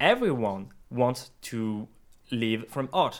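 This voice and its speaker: A man speaks with a French accent. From France. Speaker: 3D artist for video games. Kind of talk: casual chat. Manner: halting.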